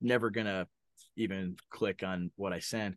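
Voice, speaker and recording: The man's voice comes through dry and close with no echo over a quiet background. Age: 30s. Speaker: pastor. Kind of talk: casual chat. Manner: halting.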